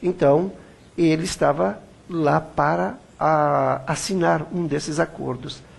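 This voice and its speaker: The man's voice is somewhat breathy. He talks at a very slow pace. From Brazil. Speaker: web TV interviewer. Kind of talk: interview.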